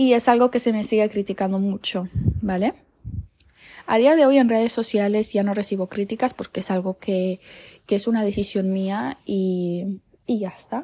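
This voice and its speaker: On a very clean recording with a silent background, a woman uses an ordinary speaking voice at a medium pitch, speaking at a moderate pace with ordinary pitch variation. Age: 20s. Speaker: podcaster. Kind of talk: personal storytelling monologue.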